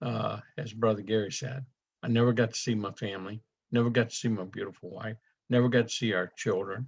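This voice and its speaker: A man speaks at a medium pitch in a Louisiana accent. His intonation is fairly even. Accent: southern US (Louisiana). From US South (south Louisiana). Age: 70s. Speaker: network marketing presenter. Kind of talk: sales presentation.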